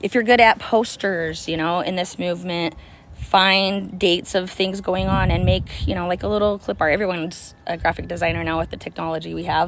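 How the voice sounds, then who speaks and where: A woman speaks at a fairly quick pace with an energetic tone. Noticeable background noise sits behind her. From US suburbs. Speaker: activist vlogger. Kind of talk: casual monologue. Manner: energetic, rambling with fillers.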